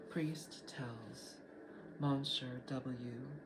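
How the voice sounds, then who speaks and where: Noticeable background noise runs under the recording. A man at a medium pitch speaks with fairly even intonation. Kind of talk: audiobook reading.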